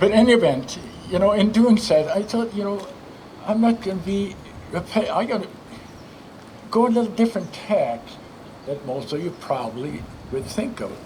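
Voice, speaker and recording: A man with a non-native accent, high pitch, and lively intonation at a moderate pace, with long, frequent pauses, audible room echo, and noticeable background noise. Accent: foreign. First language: not English. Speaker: former state senator and philanthropist. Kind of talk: ceremony speech. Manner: halting.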